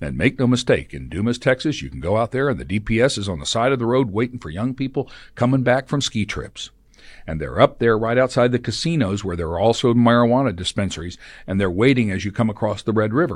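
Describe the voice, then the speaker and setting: A man with an American accent speaks at a very fast pace in a medium pitch, with vocal fry and lively intonation. The background is quiet. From Oklahoma. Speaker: former TV news anchor. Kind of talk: casual chat. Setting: studio.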